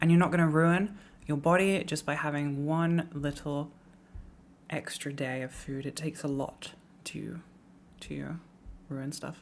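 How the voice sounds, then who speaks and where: With an American accent, a woman with a very deep, low pitch speaks at a fairly slow pace, fairly even intonation, and long, frequent pauses. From England. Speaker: streamer. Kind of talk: casual chat.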